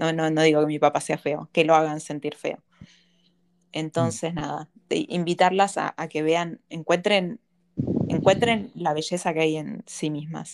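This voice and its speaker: A woman's ordinary speaking voice at a fairly low pitch, with ordinary pitch variation, a fairly slow pace and a dry, close sound without echo. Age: 30s. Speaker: psychology-trained podcast host. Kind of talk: casual conversation.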